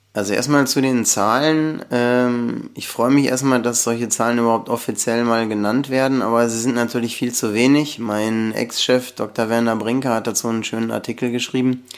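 A man's monotone, flat delivery with hardly any pauses. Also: medium pitch for a man, moderate pace. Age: 50s. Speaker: company founder and electrical engineer. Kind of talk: podcast interview.

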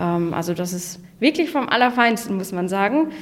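This woman's voice sits at a medium pitch. She speaks at a fairly slow pace. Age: 20s. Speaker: office park manager. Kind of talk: casual interview.

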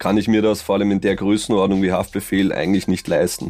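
A man with an Austrian accent, a fairly low pitch and monotone, flat intonation, in a very clean recording with a silent background. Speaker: rapper and producer. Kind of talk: casual chat.

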